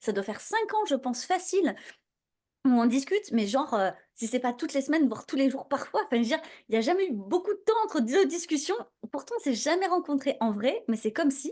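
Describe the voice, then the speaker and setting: Animated and fairly quick, a woman speaks at a high pitch. Her pitch swings very widely. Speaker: podcast host. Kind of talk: podcast interview. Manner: fast.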